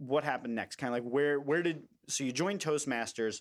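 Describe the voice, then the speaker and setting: At a fairly quick pace, a man with a normal speaking voice and ordinary pitch variation talks on a very clean recording with a silent background. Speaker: podcast host. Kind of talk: casual interview chat. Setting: studio, shared mic.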